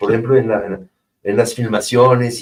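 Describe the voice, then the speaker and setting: A man speaks with a French accent at a medium pitch. His voice is somewhat breathy. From France. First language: French (speaking Spanish). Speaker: French teacher and film worker. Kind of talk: interview. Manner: halting, many repetitions and fillers.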